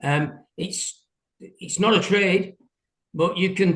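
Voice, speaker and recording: A man speaks with an English accent in a high-pitched voice. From England. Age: 60s. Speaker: window cleaner. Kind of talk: interview. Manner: halting.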